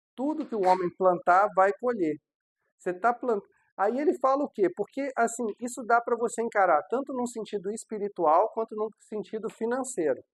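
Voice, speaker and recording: A Brazilian accent in a very clean recording with a silent background. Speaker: pastor. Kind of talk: sermon. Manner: slow.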